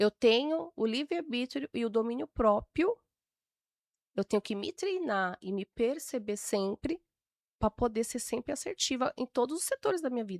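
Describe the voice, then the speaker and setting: A woman speaks at a moderate pace in a high voice, her pitch swinging very widely. The recording is very clean and dry, close-miked with no echo and a silent background. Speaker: temperament expert, podcast guest. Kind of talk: interview conversation.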